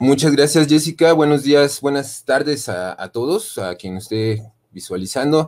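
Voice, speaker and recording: A man speaks at a fairly slow pace with a fairly high pitch. His loudness swings widely. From Mexico. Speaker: university lecturer in design. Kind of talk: conference presentation. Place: home room.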